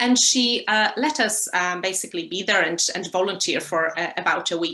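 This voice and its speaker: Speaking at a moderate pace, a woman with a Polish accent holds a medium pitch. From Poland. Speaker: lecturer and animal rights activist. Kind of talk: interview. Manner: hesitant, many fillers.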